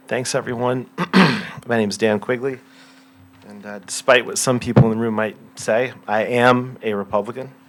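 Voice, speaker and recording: A man speaks at a medium pitch and a moderate pace, his intonation monotone and flat, with long, frequent pauses and big swings in loudness. Noticeable background noise runs underneath. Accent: American. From Greenwich, Connecticut. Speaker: local politician, public commenter. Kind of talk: public comment speech.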